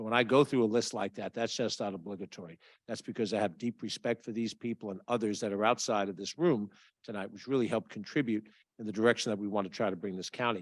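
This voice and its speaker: In a very clean recording with a silent background and a dry, close sound with no echo, a man speaks very fast at a fairly low pitch with ordinary pitch variation. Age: 60s. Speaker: county official. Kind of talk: public speech.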